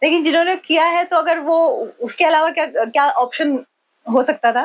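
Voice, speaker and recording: With very even loudness, a woman speaks at an extremely high pitch that varies in an ordinary way. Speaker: podcast host. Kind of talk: podcast interview questions.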